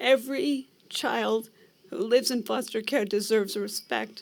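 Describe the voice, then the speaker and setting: The speaker is a woman with vocal fry. Her pitch varies in an ordinary way. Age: 70s. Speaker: foster care survivor, retired care home operator. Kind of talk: public testimony. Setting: rally at state capitol.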